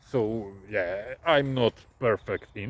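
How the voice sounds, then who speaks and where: A man speaks with a non-native accent in a dry, close sound with no echo. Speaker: truck driver. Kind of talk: casual vlog storytelling. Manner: halting, many hesitations.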